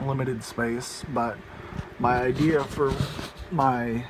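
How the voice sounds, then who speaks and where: A man speaks at a medium pitch. Noticeable background noise and audible room echo surround him. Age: 20s. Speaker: home server hobbyist, student. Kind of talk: casual tech walkthrough video. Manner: halting, many fillers.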